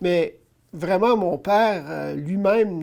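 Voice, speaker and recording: A man talks in a Quebec accent. His voice is high in pitch, and his pace is very slow. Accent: Québécois French. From Ontario, Canada (North Bay, Franco-Ontarian). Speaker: pro-life activist. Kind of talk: interview. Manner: hesitant with many fillers.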